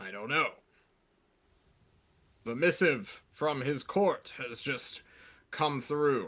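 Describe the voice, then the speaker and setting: A man uses a put-on character voice at a fairly high pitch. He talks very slowly with long, frequent pauses. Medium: actual play. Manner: brusque, impatient.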